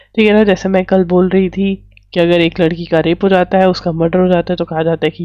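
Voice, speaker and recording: Talking at a fairly quick pace, a woman keeps her fairly low pitch in monotone, flat intonation. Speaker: exam coaching teacher. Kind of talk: current affairs lecture.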